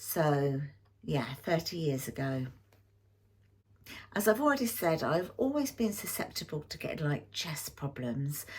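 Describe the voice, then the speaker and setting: A somewhat breathy voice in an English accent, with a fairly slow pace and long, frequent pauses. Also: woman, very deep, low pitch for a woman. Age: 60s. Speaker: YouTube lifestyle vlogger. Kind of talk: personal health story to camera. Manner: casual, hesitant with fillers.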